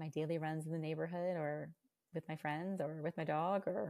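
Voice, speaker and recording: In a very clean recording with a silent background, a woman with a very deep, low voice talks at a moderate pace with fairly even intonation. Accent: American. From Virginia. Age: 40s. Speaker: stay-at-home mom and running coach. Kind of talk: casual interview chat.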